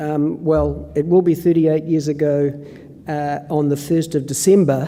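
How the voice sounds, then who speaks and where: Against noticeable background noise and audible room echo, a man with a New Zealand accent and a fairly high pitch talks at a fairly slow pace. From New Zealand, Northland. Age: 60s. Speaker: professor and epidemiologist. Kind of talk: conference presentation. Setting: conference stage with audience. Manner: hesitant with many fillers.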